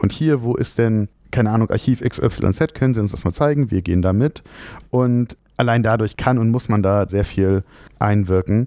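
A man speaks at medium pitch and a moderate pace, with ordinary pitch variation. His tone is dark and mellow, the loudness very even, and the sound dry and close with no echo. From Frankfurt, Germany. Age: 30s. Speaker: lawyer. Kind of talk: interview. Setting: office.

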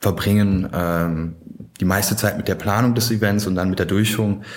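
Using a normal speaking voice, a man talks at a fairly low pitch with ordinary pitch variation. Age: 20s. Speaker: student society chair. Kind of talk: podcast interview.

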